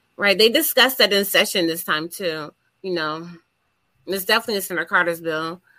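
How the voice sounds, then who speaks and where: Over a very clean recording with a silent background, a woman talks at a fairly quick pace. Her medium-pitched voice has a bright, sharp tone and ordinary pitch variation. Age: 40s.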